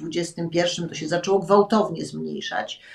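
At a very slow pace, a woman speaks with a medium pitch over a quiet background. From Poland. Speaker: former TV channel director. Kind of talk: interview. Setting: video call. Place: home room. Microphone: video call.

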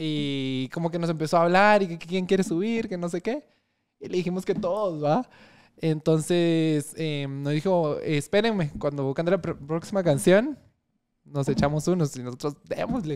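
The man's pitch is high and its variation ordinary. He speaks fairly slowly against a quiet background. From Guatemala, Chimaltenango; Guatemala. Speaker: lawyer. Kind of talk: casual chat. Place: studio. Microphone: studio mic.

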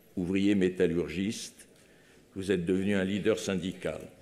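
This man's voice is very deep and low in pitch, with a dark, mellow tone. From France. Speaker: foundation president. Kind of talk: formal eulogy speech. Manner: formal. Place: hall. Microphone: podium.

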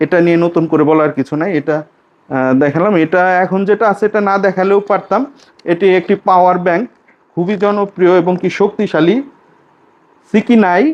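A man speaks in a high voice with ordinary pitch variation and very even loudness. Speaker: gadget vlogger. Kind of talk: casual product showcase. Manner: halting.

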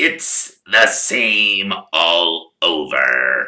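Raspy and fairly low in pitch, a man performs in a put-on character voice.

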